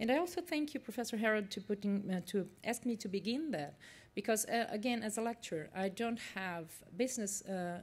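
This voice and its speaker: A woman with a Portuguese accent speaks at a moderate pace in a somewhat breathy voice with ordinary pitch variation, on a very clean recording with a silent background. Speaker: university lecturer. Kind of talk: conference presentation. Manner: halting, many fillers.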